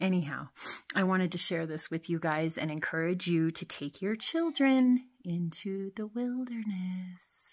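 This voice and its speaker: Over a quiet background, a woman with a somewhat breathy, fairly low voice speaks at a fairly slow pace with ordinary pitch variation. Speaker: parent vlogger. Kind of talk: casual vlog chat. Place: tunnel cave. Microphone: phone near.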